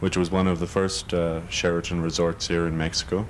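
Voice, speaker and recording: With a slight Irish accent, a man talks at a moderate pace in a very deep, low pitch with monotone, flat intonation, over noticeable background noise. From Ireland, Dublin. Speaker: hotel manager. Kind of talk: interview. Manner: halting.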